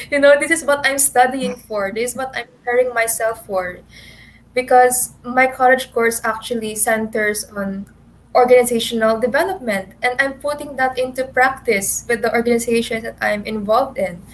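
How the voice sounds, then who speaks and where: Loud and high-pitched, a woman speaks at a moderate pace with ordinary pitch variation. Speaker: beauty pageant contestant. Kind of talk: virtual panel discussion. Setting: video call.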